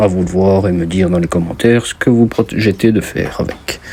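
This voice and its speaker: With a slight Belgian accent, a man speaks at a moderate pace against noticeable background noise. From Belgium. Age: 20s. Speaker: mechanic and DIY youtuber. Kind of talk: casual vlog talk to camera. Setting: basement workshop. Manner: casual, hesitant with fillers.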